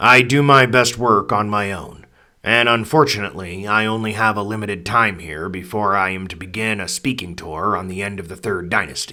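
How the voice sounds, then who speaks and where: A man does a put-on character voice, quiet and raspy, at a fairly low pitch with ordinary pitch variation. He keeps a moderate pace with hardly any pauses. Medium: read story. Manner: measured, quiet.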